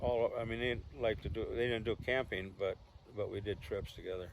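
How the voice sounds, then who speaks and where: A man with an American accent keeps a moderate pace amid noticeable background noise. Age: 80s+. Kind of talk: family storytelling interview. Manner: joking, rambling.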